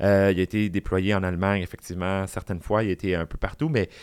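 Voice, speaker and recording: A man with an unremarkable speaking voice talks at a fairly quick pace and a fairly low pitch. The recording is very clean, with a silent background and a dry, close sound with no echo. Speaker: drag queen and public speaker. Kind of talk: casual chat.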